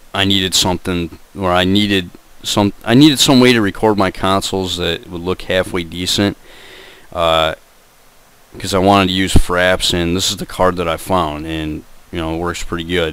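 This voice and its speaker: A man's very deep, low voice at a moderate pace, with fairly even intonation and noticeable background noise. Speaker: gaming youtuber. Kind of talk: tutorial. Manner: casual, filler-heavy.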